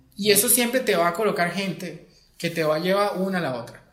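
A man with a high voice talks fairly quickly, and there is noticeable noise behind him. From Venezuela, Acarigua (Portuguesa). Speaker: music video director. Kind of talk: interview.

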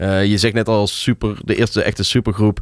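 At a moderate pace, an unremarkable speaking voice comes through in a very clean recording with a silent background. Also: man. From Tilburg, Netherlands. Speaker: music programmer and DJ. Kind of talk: casual interview. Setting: studio.

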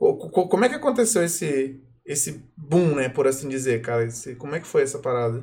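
Speaking at a moderate pace, a man uses an ordinary speaking voice with lively intonation. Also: fairly high pitch for a man. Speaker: podcast host. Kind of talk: casual chat. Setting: live stream.

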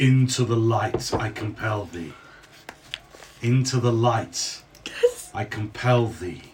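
Using a put-on character voice, a resonant man speaks at medium pitch and a fairly slow pace, with long, frequent pauses. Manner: commanding, compelling.

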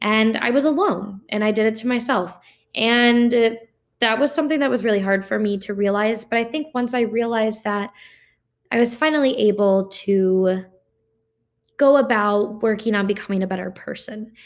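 A woman uses a normal speaking voice at a fairly high pitch. She keeps a moderate pace with ordinary pitch variation. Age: young. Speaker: podcast host. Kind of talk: personal monologue.

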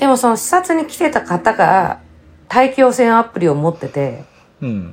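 Her fairly high woman's voice moves through very wide pitch swings. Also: moderate pace. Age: 50s. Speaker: podcast co-host. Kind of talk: casual chat.

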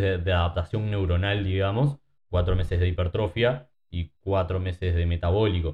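A man with a fairly low pitch speaks in a somewhat breathy voice. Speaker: fitness coach. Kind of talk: casual chat.

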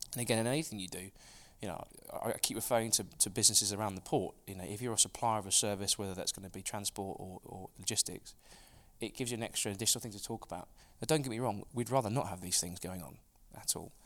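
A man with an East Anglian accent speaks at a very fast pace in a fairly low voice. His loudness swings a lot while his pitch varies normally. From Suffolk, England. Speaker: FX brokerage founder. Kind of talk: casual interview.

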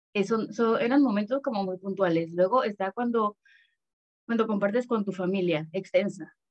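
A woman speaks at a moderate pace in a medium pitch with ordinary pitch variation. Hers is a plain, everyday voice. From Panama. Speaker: adoptee, adoption association member. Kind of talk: casual chat.

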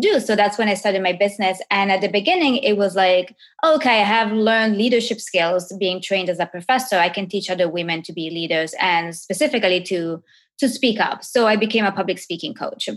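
A woman speaks at a fairly quick pace with hardly any pauses. Her pitch is medium, with ordinary variation. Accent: Italian. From Italy. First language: Italian. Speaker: professor and coach for women entrepreneurs. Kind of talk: casual interview conversation. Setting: video call.

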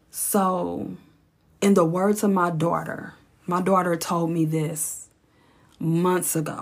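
Very slow and flat in intonation, the speech comes with long, frequent pauses and audible room echo. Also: woman, fairly low pitch for a woman. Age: 40s. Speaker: podcast host, former hairstylist. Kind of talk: casual monologue.

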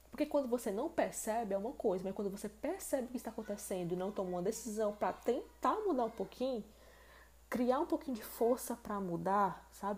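A woman with a fairly high, somewhat breathy voice talks very fast with lively intonation. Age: 20s. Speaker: podcast host. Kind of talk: solo podcast monologue.

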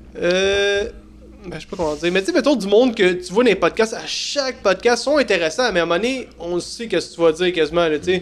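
Noticeable background noise surrounds the speaker. He is a man with a high pitch. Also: ordinary pitch variation, fairly quick pace. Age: 30s. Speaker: TikTok creator, podcast co-host. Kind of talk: casual chat. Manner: halting.

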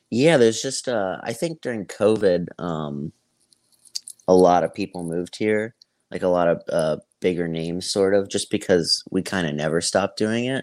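The speech comes in an American accent at a moderate pace with ordinary pitch variation, in a dry, close sound with no echo. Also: man, very deep, low pitch for a man. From Tampa, Florida. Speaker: stand-up comedian. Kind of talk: casual interview chat.

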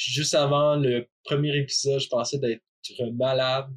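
The sound is dry and close, with no echo. The pace is very slow. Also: man. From Quebec. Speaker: person who stutters, podcast guest. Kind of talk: personal testimony.

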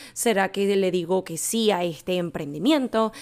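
This unremarkable speaking voice keeps a moderate pace and shows ordinary pitch variation. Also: woman. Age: 20s. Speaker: podcast host and life coach. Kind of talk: solo podcast monologue.

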